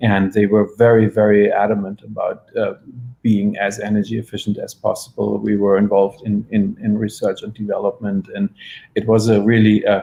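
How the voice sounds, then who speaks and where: A moderate pace with a German accent. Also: man. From Germany. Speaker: architect. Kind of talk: panel discussion.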